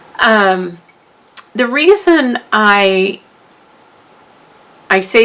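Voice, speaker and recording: Noticeable background noise sits behind a woman's voice. Her pitch is medium, with ordinary variation. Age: 60s. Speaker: craft youtuber. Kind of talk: tutorial. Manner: halting.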